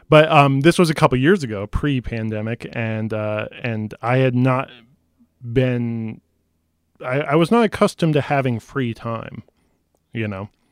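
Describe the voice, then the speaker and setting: This man has an ordinary speaking voice at a medium pitch with ordinary pitch variation. He goes at a fairly slow pace, and the sound is dry and close with no echo. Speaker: film podcast guest. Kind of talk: casual chat. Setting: video call.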